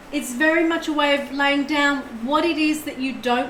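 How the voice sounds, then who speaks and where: Speaking at a fairly slow pace, a woman with a high pitch is heard through audible room echo and noticeable background noise. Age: 60s. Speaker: tarot reader. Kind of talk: live stream tarot reading.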